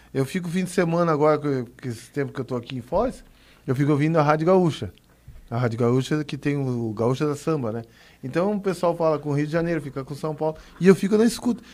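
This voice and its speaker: At a very fast pace, a man speaks at a fairly high pitch with lively intonation. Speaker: guest, carnival fan and former radio worker. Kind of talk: radio interview.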